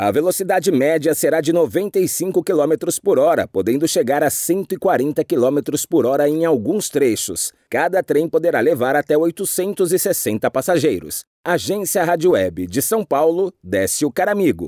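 This man's voice sits fairly high in pitch, with a dark, mellow tone, vocal fry and lively intonation at a fairly slow pace. His loudness stays very even, and the sound is dry and close with no echo on a very clean recording with a silent background. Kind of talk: news reading. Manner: formal, steady, even newsreader delivery; clear, measured pace with neutral tone.

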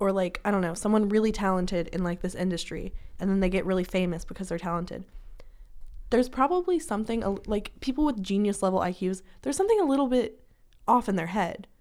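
A woman with an American accent at a medium pitch and very fast pace, on a very clean recording with a silent background. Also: ordinary pitch variation. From rural Washington State. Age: young. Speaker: podcast co-host, college student. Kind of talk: casual chat.

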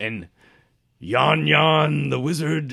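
A man's put-on character voice, raspy and gruff, at medium pitch with very wide pitch swings. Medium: actual play. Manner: gruff, sinister undertone.

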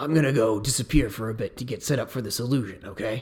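A man puts on a raspy character voice at a medium pitch. He talks at a very fast pace. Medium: actual play. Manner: casual, slangy.

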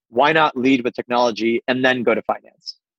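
An ordinary speaking voice with an American accent carries fairly even intonation in a dry, close recording with no echo. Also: man. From US East Coast, Pittsburgh. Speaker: venture capital investor. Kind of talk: interview.

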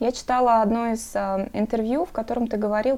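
A woman's fairly high voice with a dark, mellow tone, ordinary pitch variation, and a moderate pace. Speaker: podcast host. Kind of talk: interview.

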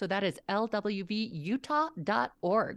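Her intonation rises and falls in a lively way. The speaker is a woman. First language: not English. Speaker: civic league volunteer. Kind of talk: casual chat. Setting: video call.

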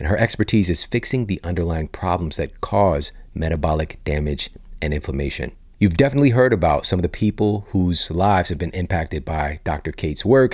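A man's very deep, low voice, calm in tone, with lively intonation and a fairly quick pace. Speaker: podcast host, fitness and nutrition expert. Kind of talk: podcast monologue and interview.

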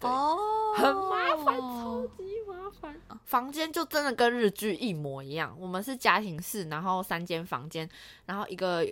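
Her bright, sharp voice at a fairly high pitch, a woman speaks at a fairly slow pace with very wide pitch swings and big swings in loudness. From Taiwan. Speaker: working holiday returnee. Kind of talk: casual chat.

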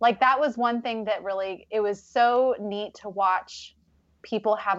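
A woman with an American accent speaks at a fairly slow pace and a medium pitch. It is an ordinary speaking voice. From Pacific Northwest US (Vancouver, Washington). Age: 30s. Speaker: wedding coach and small business owner. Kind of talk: casual chat.

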